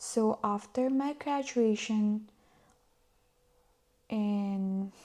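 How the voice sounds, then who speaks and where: Pausing long and often, a woman with a Filipino accent speaks in a fairly high pitch with ordinary pitch variation. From Philippines. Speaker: former accountant and vlogger. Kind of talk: casual storytelling vlog.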